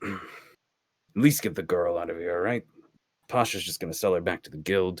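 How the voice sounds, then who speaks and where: In a put-on character voice, a man growls raspy and very deep at a fairly quick pace, with a dry, close sound and no echo. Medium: actual play. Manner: laid-back, resigned.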